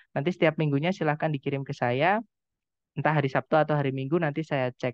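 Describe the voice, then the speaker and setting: With a Javanese accent, a man talks very fast in a fairly high voice with fairly even intonation. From East Java, Indonesia. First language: Javanese (speaking Indonesian). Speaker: English teacher. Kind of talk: online lecture. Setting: video call.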